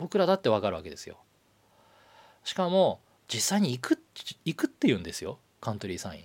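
This man talks at a very fast pace yet leaves long, frequent pauses. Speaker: livestream show navigator. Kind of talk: solo livestream talk.

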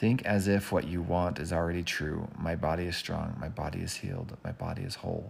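A man's very deep, low voice with vocal fry and lively intonation at a moderate pace. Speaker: podcaster. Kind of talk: casual solo podcast monologue. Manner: mellow, laid-back.

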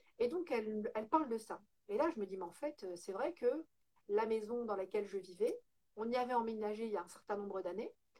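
A woman's fairly high voice, dark and mellow in tone, fairly quick and lively in intonation. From northern France, Lille. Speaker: home organizing entrepreneur. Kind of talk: interview.

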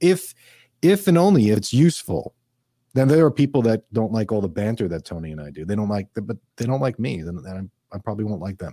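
With a New York accent, a man rattles along at a very fast pace in a dark, mellow tone and fairly low pitch, his pitch swinging very widely and his loudness shifting greatly, all in a dry, close sound with no echo. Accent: New York accent, noticeable. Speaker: financial advisor. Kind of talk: interview.

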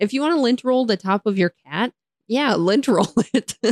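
A playful woman's fairly high voice with an American accent and lively intonation, in a dry, close sound with no echo. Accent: American, with local regional features. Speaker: podcast host. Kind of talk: casual chat. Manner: playful, laughs often.

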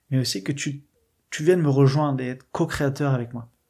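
A somewhat breathy man's voice, fairly high in pitch with ordinary pitch variation, at a fairly slow pace in a very clean recording with a silent background. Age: 20s. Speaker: catechumen sharing faith testimony. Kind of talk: testimony. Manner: halting, many hesitations.

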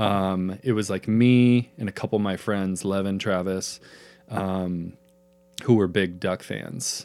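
A man with an American accent talks very slowly in a fairly low voice. His intonation stays fairly even. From Eastern Oregon (Pendleton). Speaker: podcast co-host. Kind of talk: casual chat.

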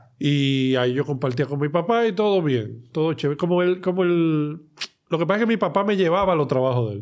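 A man talks at a fairly quick pace in a normal speaking voice. His pitch is fairly high, and his intonation is lively. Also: hardly any pauses. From Dominican Republic, Santo Domingo. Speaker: comedian and talent manager. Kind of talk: casual chat. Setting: studio.

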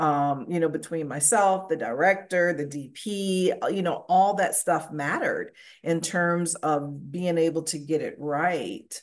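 At a fairly slow pace with hardly any pauses, a woman speaks in a fairly low voice with fairly even intonation against a quiet background. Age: 60s. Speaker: makeup designer. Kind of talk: interview. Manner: hesitant, many fillers.

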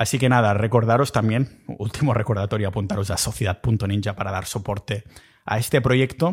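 A somewhat breathy man's voice, fairly low in pitch. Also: ordinary pitch variation, fairly quick pace, very clean recording, silent background. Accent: Catalan. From Catalonia. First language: Catalan (speaking Spanish). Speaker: podcast host. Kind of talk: solo podcast monologue. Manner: casual, animated.

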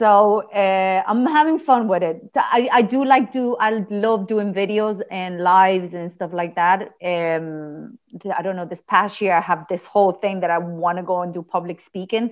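In a plain, everyday voice, a woman speaks fairly slowly at a medium pitch with ordinary pitch variation against a quiet background. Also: hardly any pauses. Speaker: podcast host. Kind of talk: podcast interview, casual chat.

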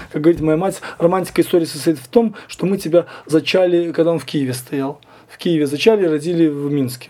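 Amid noticeable background noise, a man speaks at a fairly quick pace in a fairly high pitch, with ordinary pitch variation and big swings in loudness. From Belarus. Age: 40s. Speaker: punk musician. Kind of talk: interview.

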